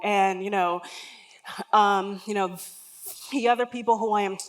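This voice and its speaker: A woman speaks over noticeable background noise. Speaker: keynote speaker, empathy consultant. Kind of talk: conference keynote talk.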